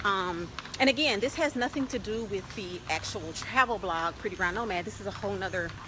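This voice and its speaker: A medium-pitched woman's voice with lively intonation, amid noticeable background noise. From Louisiana. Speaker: travel blogger. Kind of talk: interview.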